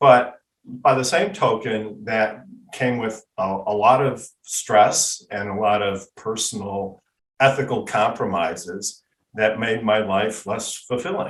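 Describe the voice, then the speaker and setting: A man speaks at a very slow pace in a fairly low pitch. His pitch varies in an ordinary way. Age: 60s. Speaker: patent attorney. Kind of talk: interview.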